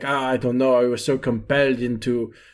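A man's put-on character voice, mumbling at a medium pitch. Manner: mumbling, rambling.

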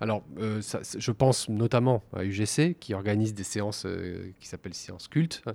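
A man's dark, mellow, fairly low voice at a fairly slow pace, hardly any pauses, ordinary pitch variation and big swings in loudness, on a very clean recording with a silent background. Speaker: podcast host. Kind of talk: interview. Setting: library recording room, masked. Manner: halting.

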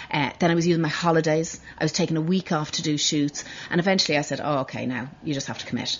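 A woman with a Dublin accent, very deep and low in pitch, at a very fast pace with hardly any pauses and fairly even intonation. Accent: Irish (Dublin). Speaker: fashion designer. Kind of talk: casual interview.

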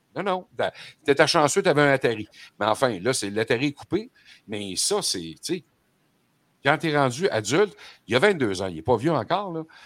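Heard in a very clean recording with a silent background, the speaker has a Quebec accent, vocal fry and very wide pitch swings, talking at a moderate pace with long, frequent pauses. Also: man, fairly high pitch for a man. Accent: Québécois French. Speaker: radio host. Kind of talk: casual chat.

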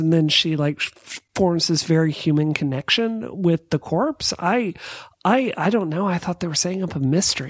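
Speaking with an American accent, a woman uses lively intonation at a fairly low pitch and a moderate pace. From US South, Mississippi. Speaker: podcast guest. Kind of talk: casual chat. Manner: animated.

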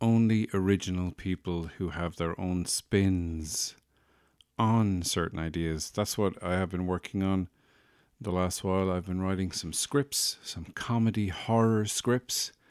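In a very clean recording with a silent background, a man with an Irish accent speaks fairly slowly at a very deep, low pitch. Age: 40s. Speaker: podcast host. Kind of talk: casual comedic monologue. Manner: animated.

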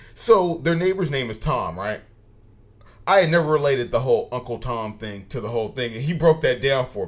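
Talking at a fairly quick pace, a man with medium pitch and an unremarkable speaking voice uses lively intonation and big swings in loudness. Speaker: podcast host. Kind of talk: casual banter podcast. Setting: studio.

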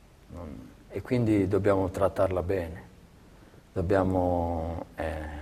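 At a fairly slow pace, a man speaks with very deep, low pitch, a somewhat breathy quality and fairly even intonation. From Calabria, southern Italy. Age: 40s. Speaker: athletic trainer. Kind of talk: interview. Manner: halting, many repetitions.

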